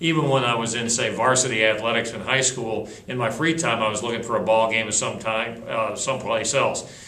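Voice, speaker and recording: A man speaks at medium pitch with an American accent and a fairly quick pace. Noticeable background noise and audible room echo are present. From northern Chicago suburbs. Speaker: sports play-by-play broadcaster. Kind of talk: interview.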